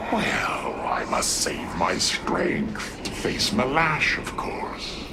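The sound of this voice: A man's put-on character voice at medium pitch, very slow, with vocal fry and very wide pitch swings, amid clear background noise and audible room echo.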